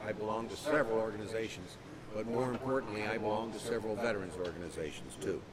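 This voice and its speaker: A man with an American accent talking very fast with ordinary pitch variation, noticeable background noise and audible room echo. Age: 60s. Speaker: war veteran. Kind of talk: keynote speech.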